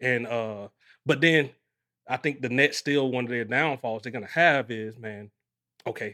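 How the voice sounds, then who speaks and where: With fairly even intonation and a fairly quick pace, a man speaks at medium pitch in an unremarkable speaking voice, recorded very cleanly against a silent background. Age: 40s. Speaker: podcast host. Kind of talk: casual chat.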